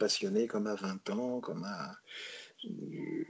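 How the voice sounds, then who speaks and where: Lively intonation marks a man's voice as he speaks at a very slow pace. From France, Paris. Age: 70s. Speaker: comic book artist. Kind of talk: interview. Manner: halting.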